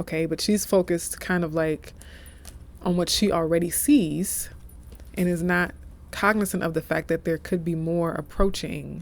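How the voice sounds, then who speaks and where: Moderate pace from a soft-spoken woman. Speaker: tarot reader. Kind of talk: tarot reading. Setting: office.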